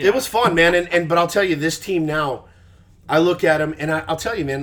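A man with an American accent speaks in an ordinary speaking voice, his pitch fairly high and his pitch variation ordinary. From Texas. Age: 40s. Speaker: sports radio host. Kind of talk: casual chat.

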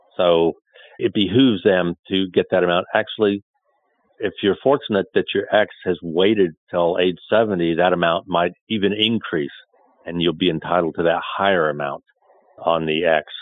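Very deep, low male speech at a moderate pace, intonation fairly even. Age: 60s. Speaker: investment manager. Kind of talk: interview.

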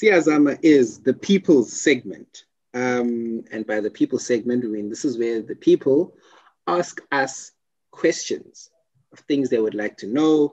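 A plain, everyday voice with lively intonation moves at a fairly slow pace. The sound is dry and close, with no echo. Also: man. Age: 20s. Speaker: podcast host. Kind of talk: casual chat.

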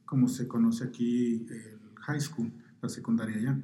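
Audible room echo surrounds a man's somewhat breathy, medium-pitched voice. His tone is dark and mellow, his intonation fairly even. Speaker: poet. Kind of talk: interview through an interpreter. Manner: halting, many fillers.

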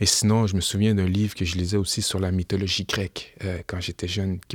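A man with a Quebec accent, fairly low in pitch, at a fairly quick pace, in a dry, close sound with no echo and a very clean recording with a silent background. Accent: Québécois French. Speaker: rapper and historian. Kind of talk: interview.

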